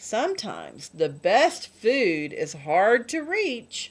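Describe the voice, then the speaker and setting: Speaking at a very slow pace, a woman puts on a character voice pitched fairly high. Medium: read story. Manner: patient, gentle.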